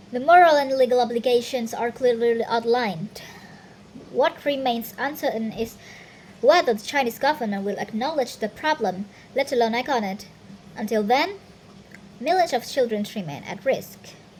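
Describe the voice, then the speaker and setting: Using a high pitch, lively intonation and a non-native accent, a woman speaks at a moderate pace with long, frequent pauses. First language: not English. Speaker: university student. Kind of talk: reading aloud. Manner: halting, with self-corrections.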